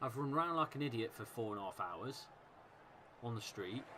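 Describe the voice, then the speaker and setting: The speaker has a Leicester accent. The pace is moderate. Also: man. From Leicester, England. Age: 30s. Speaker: football fan streamer. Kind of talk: live watchalong commentary. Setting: live stream.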